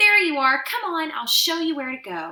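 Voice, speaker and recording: Using a put-on character voice, a woman speaks at an extremely high, squeaky pitch, raised and projected. Her loudness swings a lot, and her pace is moderate. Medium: read story. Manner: gushing, warm.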